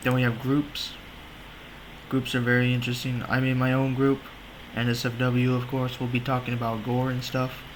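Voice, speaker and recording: A man talks at a moderate pace with medium pitch and a flat, monotone delivery. His loudness stays very even, with long, frequent pauses and audible room echo. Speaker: website tutorial video maker. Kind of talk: screen-recorded tutorial. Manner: casual, joking.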